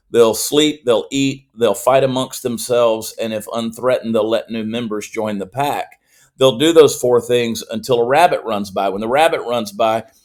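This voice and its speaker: In a very clean recording with a silent background, a man with a Southern US accent speaks at a moderate pace and medium pitch, with fairly even intonation and hardly any pauses. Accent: Southern US (Georgia). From US South, Augusta, Georgia. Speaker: comedian and political commentator. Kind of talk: podcast interview.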